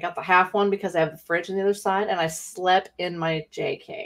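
Quiet surrounds this woman's voice. Her delivery keeps a moderate pace. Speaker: live stream co-host. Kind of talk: casual chat on live stream. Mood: relaxed, cheerful. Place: home room. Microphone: studio mic.

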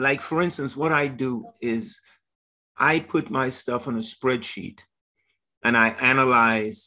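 Against a quiet background, a man with a bright, sharp tone speaks very slowly with lively intonation. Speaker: professor. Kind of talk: Q&A question. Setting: video call. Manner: halting. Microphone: video call.

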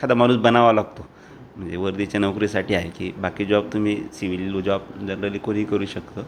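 Using a plain, everyday voice, a man talks at a fairly low pitch that varies in an ordinary way. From Dhule district, Maharashtra (Khandesh). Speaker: district government official. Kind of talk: interview.

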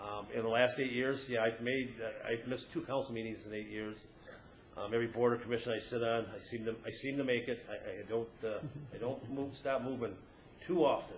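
American-accented man at a fairly quick pace, medium-pitched and fairly even in intonation, with audible room echo and noticeable background noise. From Ferndale, Michigan. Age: 50s. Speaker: city council candidate. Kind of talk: candidate forum answer. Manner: halting, many fillers.

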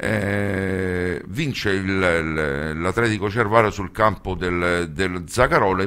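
A man at a very slow pace, very deep and low in pitch, bright and sharp in tone, with ordinary pitch variation and a quiet background. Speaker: radio host. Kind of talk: radio sports commentary and match summaries. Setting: studio. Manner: hesitant, filler-heavy, with frequent 'eh' pauses. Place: studio.

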